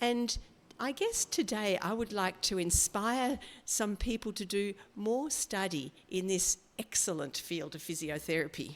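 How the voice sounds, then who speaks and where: In an Australian accent, a woman speaks at a medium pitch with lively intonation. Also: fairly slow pace. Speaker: physiotherapist lecturer. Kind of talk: lecture. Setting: seminar room with live audience and online. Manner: slow.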